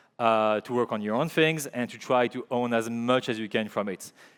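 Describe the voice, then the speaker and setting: Nothing can be heard behind the voice, and the recording is very clean. The delivery is moderately paced. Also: man. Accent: French. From Belgium, Liège. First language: French. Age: 40s. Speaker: filmmaker and creative director. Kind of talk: conference talk. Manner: halting, many fillers and repeats.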